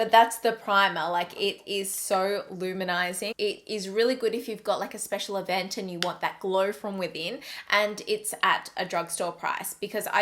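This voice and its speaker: With an Australian accent, this voice moves at a moderate pace and shows ordinary pitch variation. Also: woman. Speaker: beauty vlogger. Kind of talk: product review vlog. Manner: casual, chatty.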